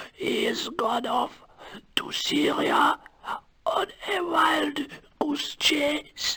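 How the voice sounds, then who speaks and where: Delivered in a put-on character voice, the speech is high-pitched and raspy, very slow, and broken by long, frequent pauses. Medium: machinima.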